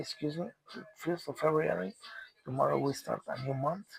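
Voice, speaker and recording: A man talks at a moderate speed while noticeable background noise plays behind him. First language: Spanish. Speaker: commentator on world news. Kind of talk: solo monologue. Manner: halting, many repetitions and fillers.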